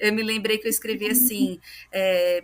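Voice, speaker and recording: A woman talks in a plain, everyday voice. Her pitch is fairly high and her intonation fairly even. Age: 30s. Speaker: podcast guest, adoptee and adoptive mother. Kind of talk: testimony in casual interview chat.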